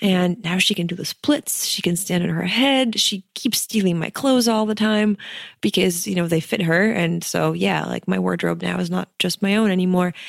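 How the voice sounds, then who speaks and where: Dry and close with no echo, a woman's voice moves at a moderate pace. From Ukraine (Kyiv). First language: Ukrainian or Russian. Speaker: wedding photographer and entrepreneur. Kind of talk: interview. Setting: in person, Cape Town.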